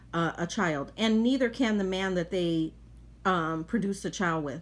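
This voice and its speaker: In a very clean recording with a silent background, a woman talks at a moderate pace with a fairly low pitch and ordinary pitch variation. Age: 50s. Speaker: commentator. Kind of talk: reaction commentary. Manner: halting, with many fillers.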